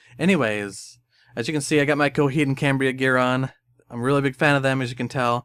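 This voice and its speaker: A man mumbles at a medium pitch and a fairly quick pace, with fairly even intonation. The sound is dry and close with no echo, on a very clean recording with a silent background. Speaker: anime music video editor. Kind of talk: casual talk to camera. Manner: mumbling, stuttering.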